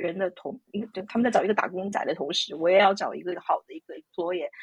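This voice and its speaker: The speech is very fast and somewhat breathy, with ordinary pitch variation. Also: woman. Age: 30s. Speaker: IT professional and mother. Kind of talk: interview. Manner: halting.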